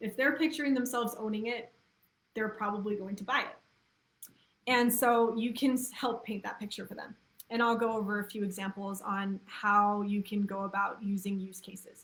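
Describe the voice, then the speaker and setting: A plain, everyday voice at a moderate pace, with fairly even intonation and big swings in loudness. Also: woman, fairly high pitch for a woman. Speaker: copywriter. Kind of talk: webinar talk. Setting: live video stream.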